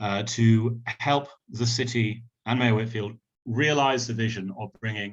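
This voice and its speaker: This man has a British accent. He talks at a fairly slow pace with fairly even intonation. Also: medium pitch for a man. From United Kingdom. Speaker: tech company representative. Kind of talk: opening remarks. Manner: hesitant, many fillers.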